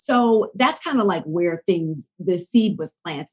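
A woman with an ordinary speaking voice, an American accent and lively intonation. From US South, Decatur near Atlanta, Georgia. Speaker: broadcast journalist. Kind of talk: interview conversation.

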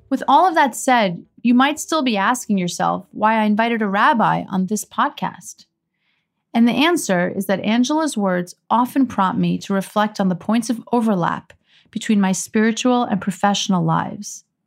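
On a very clean recording with a silent background, a woman with a normal speaking voice and fairly high pitch talks at a moderate pace with ordinary pitch variation. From Iran, raised in US. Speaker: podcast host and prosecutor. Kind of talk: casual chat; scripted narration.

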